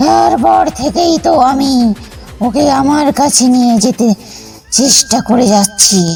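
A put-on character voice with a fairly high pitch speaks at a very slow pace. Clear music plays in the background. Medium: read story.

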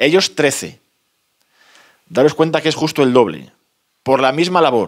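A man speaks with ordinary pitch variation. His background is quiet. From Spain, León province (El Bierzo area); León province, Spain. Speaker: author, rural postman. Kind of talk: book presentation talk. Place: meeting room.

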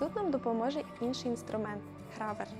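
Music plays in the background behind a woman. Her fairly high voice shows ordinary pitch variation. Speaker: cosplay prop maker. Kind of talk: craft tutorial narration.

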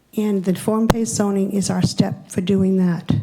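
Somewhat breathy and dark, mellow in tone, a woman speaks at a medium pitch and moderate pace with fairly even intonation. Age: 70s. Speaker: public commenter at town meeting. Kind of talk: public comment. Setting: town hall hearing room. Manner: formal.

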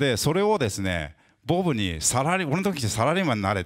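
A man's pitch swings very widely as he talks fairly quickly against a quiet background. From Japan. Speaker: interviewer and interpreter, guitar company specialist; interviewer. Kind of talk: interview at a live talk event, interpreting. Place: shop. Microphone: handheld.

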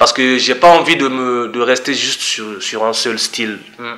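A man is speaking. His pace is fairly slow. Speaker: guest. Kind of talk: interview answer. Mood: relaxed, smiling. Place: studio. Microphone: studio mic.

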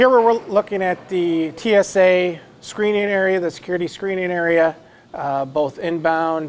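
A man's speech unfolds with ordinary pitch variation at a fairly slow pace. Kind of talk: guided tour explanation. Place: hall.

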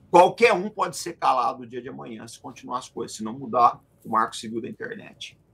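A man talks at a fairly quick clip with vocal fry, his pitch swinging very widely and his loudness rising and falling sharply. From Brazil. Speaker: military analyst, retired officer; military analyst. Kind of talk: political analysis discussion. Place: home room. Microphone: video call.

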